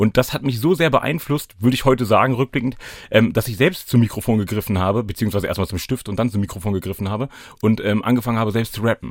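At a very fast pace, a man talks at a medium pitch with ordinary pitch variation, in a very clean recording with a silent background. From Hannover, Lower Saxony (northern Germany). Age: 30s. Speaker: anti-racism trainer and rapper. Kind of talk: casual chat.

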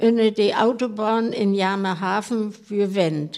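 A woman's very slow speech at a fairly high pitch, with noticeable background noise. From Rostock area, Mecklenburg. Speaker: club member. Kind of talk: casual chat.

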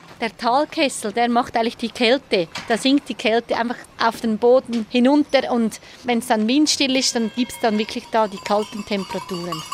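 Speaking with a Swiss accent, a woman has a fairly high voice and ordinary pitch variation. She keeps a moderate pace over noticeable background noise. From central Switzerland, canton Schwyz. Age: young. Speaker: mountain hut operator. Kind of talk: on-location interview.

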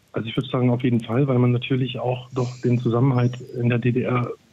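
Against noticeable background noise, a man speaks at a medium pitch and a fairly quick pace. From Saxony. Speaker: caller. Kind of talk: phone-in conversation.

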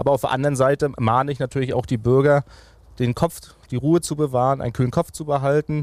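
An unremarkable speaking voice from a man, medium in pitch, fairly quick, with fairly even intonation and a dry, close sound with no echo. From Mecklenburg-Vorpommern, Greifswald. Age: 30s. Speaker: regional party leader and politician. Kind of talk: political interview.

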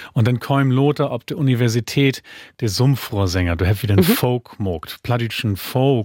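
Recorded very cleanly against a silent background, with a dry, close sound and no echo, a somewhat breathy man speaks with lively intonation. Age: 40s. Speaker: author and musician. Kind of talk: interview in Low German.

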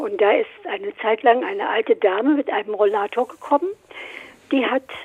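A woman's high pitch with very wide pitch swings at a moderate pace. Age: 80s+. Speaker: fitness trainer, caller. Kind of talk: call-in conversation. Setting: phone call.

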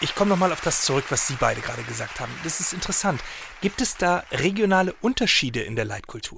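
Very fast and high-pitched, a man's voice swings very widely in pitch. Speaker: satirical talk show host parody, comedy presenter. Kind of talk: stand-up style comedic monologue with mock asides.

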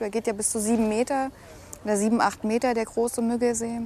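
Her voice sits fairly high. The speaker is a woman. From Thuringia, Germany (near Nordhausen, southern Harz). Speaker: angler. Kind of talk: casual chat. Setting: outdoors.

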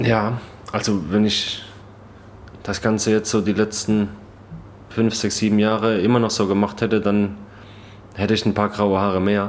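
In a room with audible echo, a man with a fairly low pitch speaks at a moderate pace in a monotone, flat intonation, leaving long, frequent pauses. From Baden-Württemberg, Germany. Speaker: professional football goalkeeper. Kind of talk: casual interview. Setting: stadium lounge.

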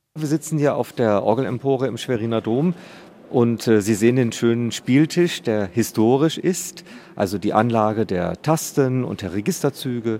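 Here is a man with a plain, everyday voice at a medium pitch. He speaks at a moderate pace with lively intonation. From East Frisia, northern Germany. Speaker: cathedral organist. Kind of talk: interview. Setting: organ loft in a cathedral.

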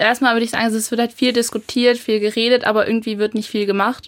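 On a very clean recording with a silent background, a woman speaks at a very fast pace and fairly high pitch in a monotone, flat way. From Germany, Lower Saxony (rural). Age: young. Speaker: federal volunteer, rural youth association. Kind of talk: radio interview. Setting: studio.

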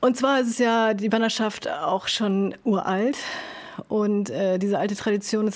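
An unremarkable speaking voice from a woman, medium in pitch, at a moderate pace with ordinary pitch variation. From northern Germany, Sylt. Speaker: carpenter. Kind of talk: casual chat. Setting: over lunch.

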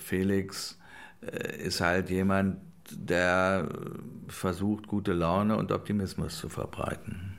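The man's voice sits fairly low in pitch. He speaks at a very slow pace, with audible room echo around him. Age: 60s. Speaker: film producer. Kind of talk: interview.

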